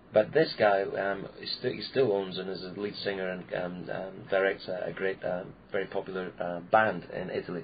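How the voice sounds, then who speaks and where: Speaking at a moderate pace with a Scottish accent, the voice runs on with hardly any pauses. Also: man, fairly low pitch for a man. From Scotland, Peebles near Edinburgh. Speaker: clown and entertainer. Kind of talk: interview.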